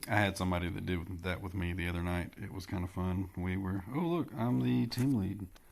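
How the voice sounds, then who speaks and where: At a moderate pace, a man with a Southern US accent speaks at a very deep, low pitch. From US Southeast. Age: 30s. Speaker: gaming streamer. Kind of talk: gameplay commentary. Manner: casual, hesitant with fillers.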